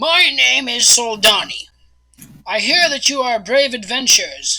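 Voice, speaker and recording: Putting on a raspy character voice, a woman speaks at a high pitch and a moderate pace. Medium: actual play. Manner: calculating, persuasive.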